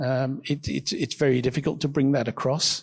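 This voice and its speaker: In a very clean recording with a silent background, a man with an English accent speaks at a fairly high pitch, sounding somewhat breathy. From England. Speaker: student entrepreneur. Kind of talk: panel discussion. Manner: halting, many fillers.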